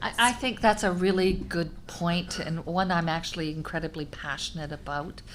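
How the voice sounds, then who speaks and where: A woman with a fairly low pitch talks at a fairly quick pace, her voice carrying audible room echo. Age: 60s. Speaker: senior leader in long-term care. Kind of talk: panel discussion.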